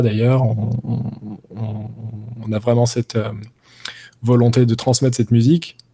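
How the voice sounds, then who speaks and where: Speaking at a moderate pace with long, frequent pauses, a man uses a medium pitch and a monotone, flat intonation. His tone is dark, mellow and somewhat breathy. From France, Paris. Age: 30s. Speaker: jazz guitarist. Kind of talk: interview. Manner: hesitant, many fillers.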